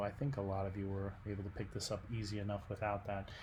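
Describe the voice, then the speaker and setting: A man's somewhat breathy, fairly low voice at a fairly quick pace, with monotone, flat intonation and audible room echo. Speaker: art teacher. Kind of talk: recorded class instructions. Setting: at home at night. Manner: soft-spoken; hesitant, many fillers.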